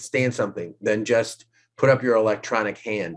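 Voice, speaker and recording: An American accent from a man, delivered at a moderate pace. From New York. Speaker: law professor. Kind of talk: lecture. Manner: animated.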